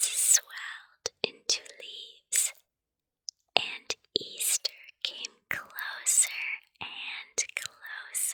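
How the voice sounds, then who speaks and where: The speaker whispers in a soothing tone. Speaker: ASMR puppet storyteller. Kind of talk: bedtime story book reading. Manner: whispered, soothing.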